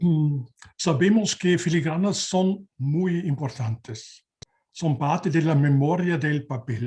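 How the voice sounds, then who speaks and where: A man speaks at a very slow pace in a dark, mellow tone. His fairly high voice shows ordinary pitch variation. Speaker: researcher and database specialist. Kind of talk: conference presentation. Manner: halting.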